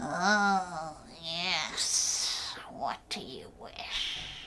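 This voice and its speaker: Over clear background noise, a woman uses a put-on character voice at a medium pitch. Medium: read story. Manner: sly, drawn-out.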